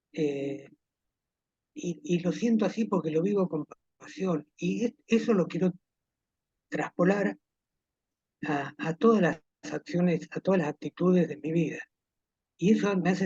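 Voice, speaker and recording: A man with a dark, mellow tone and high pitch talks at a fairly slow pace with long, frequent pauses, in a dry, close sound with no echo. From Argentina, Villa Dolores, Córdoba province. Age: 70s. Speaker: retired army officer, war veteran. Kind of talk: interview testimony.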